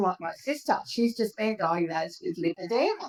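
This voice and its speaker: A woman talks at a moderate pace with an Australian accent. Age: 60s. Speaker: patient sharing her health story. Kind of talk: podcast interview.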